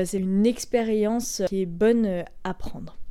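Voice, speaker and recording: This woman has a dark, mellow tone and a fairly high pitch. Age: 20s. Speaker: podcast host and scout leader. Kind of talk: solo explanatory podcast.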